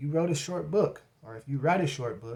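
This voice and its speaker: His voice is somewhat breathy, with a dark, mellow tone. The man keeps a moderate pace and ordinary pitch variation. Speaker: YouTube creator and author. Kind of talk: tutorial. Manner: casual and conversational.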